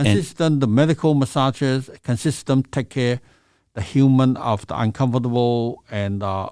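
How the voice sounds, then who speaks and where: This man has a Chinese accent and ordinary pitch variation. He speaks at a fairly slow pace in a very clean recording with a silent background. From China. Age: 60s. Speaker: massage therapist. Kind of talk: interview answer.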